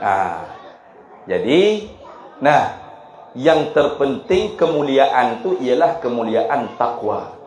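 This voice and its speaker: A man speaks with a strong Kelantan accent. Noticeable background noise and audible room echo come through. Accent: thick Kelantan Malay. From Malaysia, Kelantan. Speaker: Islamic preacher. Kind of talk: religious lecture.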